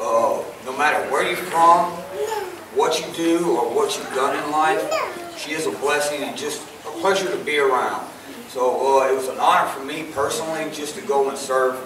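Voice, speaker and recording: Crowd noise and audible room echo surround a man speaking at a moderate pace. His pitch varies in an ordinary way. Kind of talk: testimony to congregation. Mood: grateful, heartfelt. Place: church.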